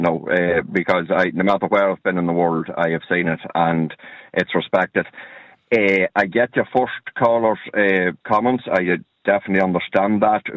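Speaking with an Irish accent, a man with a very deep, low pitch keeps his intonation fairly even. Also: moderate pace. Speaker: radio caller. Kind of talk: radio phone-in.

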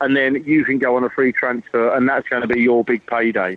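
The voice moves at a moderate pace with an English accent. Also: man. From England. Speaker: football journalist. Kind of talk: casual chat.

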